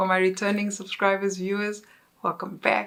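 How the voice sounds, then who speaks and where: The woman's tone is relaxed, her pitch medium and her pace moderate. The recording is very clean, with a silent background. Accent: South African. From South Africa. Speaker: content creator. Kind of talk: casual chat. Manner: halting.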